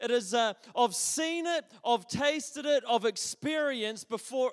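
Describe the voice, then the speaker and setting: A man with a New Zealand accent and an extremely high pitch, fairly slow in pace with ordinary pitch variation, in dry, close sound with no echo. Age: 30s. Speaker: pastor. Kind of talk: sermon. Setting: church. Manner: halting.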